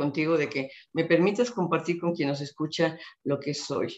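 The speech moves at a fairly quick pace, with fairly even intonation. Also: woman. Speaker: retired public official and speaker. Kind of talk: interview conversation.

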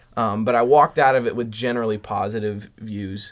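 A man with an American accent and an unremarkable speaking voice at a moderate pace. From Southern California. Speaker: film fan guest. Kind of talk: casual chat.

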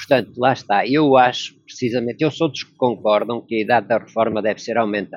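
A man in an ordinary speaking voice talks at a fairly quick pace with hardly any pauses. His pitch sits at a medium level, the intonation stays fairly even, and the loudness swings widely. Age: 60s. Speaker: logistics worker. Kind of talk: interview. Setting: video call.

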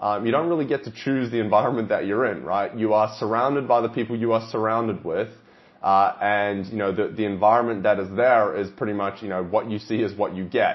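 An energetic man with an Australian accent and a medium pitch. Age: 20s. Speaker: fitness coach and podcast host. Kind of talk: solo podcast monologue.

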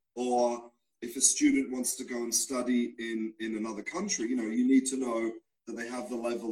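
A man in an Australian accent speaks with big swings in loudness. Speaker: English teacher. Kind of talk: casual interview. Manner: halting, repeats words.

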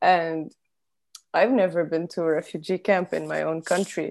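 A woman speaks at a fairly low pitch with a dark, mellow tone. Her pace is moderate, her intonation fairly even, and the background quiet. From Lebanon. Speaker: podcast host. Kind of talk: interview. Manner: halting.

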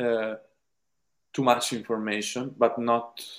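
Speaking at a very slow pace, a man talks with an Italian accent. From Italy. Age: 20s. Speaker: film director. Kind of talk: interview. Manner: halting.

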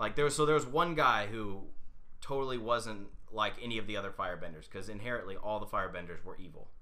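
A man rattles along at a very fast pace with a bright, sharp tone, medium pitch and lively intonation, with audible room echo. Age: 30s. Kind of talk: casual chat.

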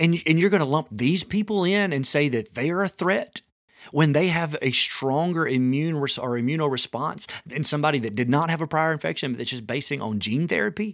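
A man talks with a fairly high pitch and lively intonation. His pace is fairly quick. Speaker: podcast host. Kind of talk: political commentary monologue. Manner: fast.

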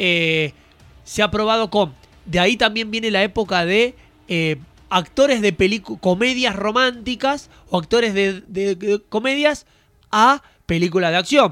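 A man talks with a high pitch and a bright, sharp tone. His pitch varies in an ordinary way. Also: fairly slow pace. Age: 20s. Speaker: podcast host. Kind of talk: casual chat.

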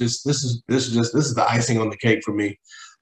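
A man's very fast, somewhat breathy speech at medium pitch, with fairly even intonation. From West Texas. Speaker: music artist and producer. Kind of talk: casual interview. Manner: halting.

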